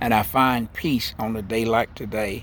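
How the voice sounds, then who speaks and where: The voice has a Southern US accent and fairly even intonation. It moves at a fairly slow pace. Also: man. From US South, Central Florida. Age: 70s. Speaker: spiritual vlogger. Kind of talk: spiritual monologue. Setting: outdoors, in a garden.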